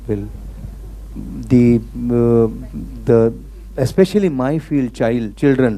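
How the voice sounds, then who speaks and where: A soft-spoken man is heard over noticeable background noise. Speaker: pediatrician giving a talk. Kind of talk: talk to an audience.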